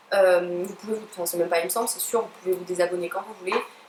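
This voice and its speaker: A woman talks at a very fast pace. There is noticeable background noise. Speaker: pet YouTuber. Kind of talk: unboxing review. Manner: hesitant, many fillers.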